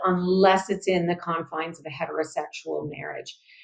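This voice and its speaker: A woman's medium-pitched voice at a moderate pace, an unremarkable speaking voice. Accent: Canadian. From Canada. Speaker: sex therapist and psychologist. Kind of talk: podcast interview. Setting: podcast.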